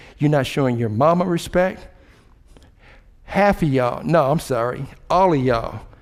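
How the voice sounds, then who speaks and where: A man with an American accent speaks at a moderate pace and a fairly high pitch, in an animated tone. His pitch variation is ordinary, and there is audible room echo. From Cincinnati, Ohio. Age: 60s. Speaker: city mayor. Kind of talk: motivational speech. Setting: stage with audience.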